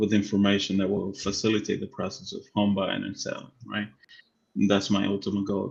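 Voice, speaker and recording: Using a Spanish accent, a man talks at a fairly quick pace and fairly low pitch with monotone, flat intonation. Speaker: real estate agent and live show co-host. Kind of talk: casual chat. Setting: live stream.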